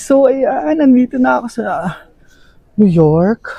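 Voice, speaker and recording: A man at a very slow pace. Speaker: travel vlogger. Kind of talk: travel vlog narration. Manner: speaking louder to compensate. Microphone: no mic, camera mic.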